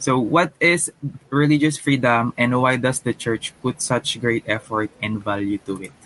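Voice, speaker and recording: A man speaks in a normal speaking voice at medium pitch with ordinary pitch variation. His pace is fairly slow, and the sound is dry and close with no echo. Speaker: podcast host. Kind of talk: casual chat.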